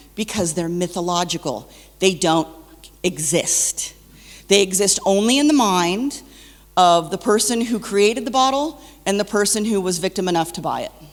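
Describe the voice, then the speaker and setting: Moderately paced speech with lively intonation and noticeable background noise. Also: woman, medium pitch for a woman. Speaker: wine counterfeit expert speaker. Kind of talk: conference presentation. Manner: loud.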